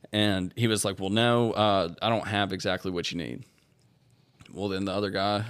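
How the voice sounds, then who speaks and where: Speaking in a Louisiana accent, a man uses a fairly low pitch and fairly even intonation at a moderate pace. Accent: US Southern (Louisiana). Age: 20s. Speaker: recovering alcoholic sharing his story. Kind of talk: testimony.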